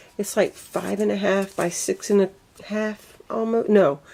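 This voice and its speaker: A woman with a Southern US accent speaks at a very slow pace. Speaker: craft video creator. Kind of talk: tutorial. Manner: casual, chatty.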